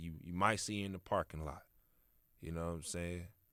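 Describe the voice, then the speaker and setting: A man with an American accent. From Kansas City, Missouri, then Texas. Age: 20s. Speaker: podcast host. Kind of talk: motivational monologue. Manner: casual, conversational.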